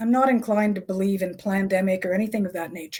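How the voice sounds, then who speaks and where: Talking at a very fast pace, a woman uses a medium pitch. Her speech rushes along quickly. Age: 60s. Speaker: author and health journalist. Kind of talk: interview.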